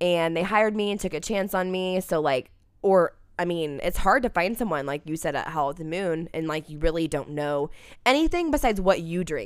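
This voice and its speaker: On a very clean recording with a silent background, a woman speaks at a fairly quick pace with a Midwestern US accent. Her fairly low voice shows ordinary pitch variation. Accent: US Midwest. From Indianapolis area, Indiana. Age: 20s. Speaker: bartender. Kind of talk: casual chat. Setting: studio.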